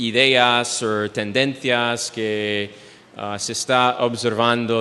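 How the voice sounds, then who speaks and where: A man with an English accent speaks very slowly in a monotone, flat intonation over noticeable background noise. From United States. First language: English (speaking Spanish). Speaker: speaker. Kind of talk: lecture. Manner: halting, many fillers.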